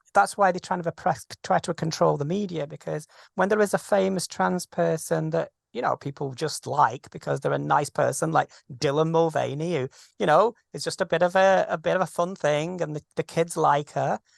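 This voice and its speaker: The speaker has a British accent. The background is quiet. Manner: fast.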